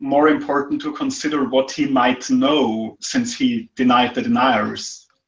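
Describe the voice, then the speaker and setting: A man's fairly high voice with very wide pitch swings and a non-native accent. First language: not English. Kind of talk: casual chat.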